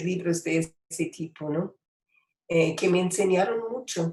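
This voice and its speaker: In a dark, mellow tone, a woman speaks at a medium pitch. Her pace is very slow and her pitch variation ordinary. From United States. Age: 80s+. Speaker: poet and writer. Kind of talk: interview. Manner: halting, many fillers.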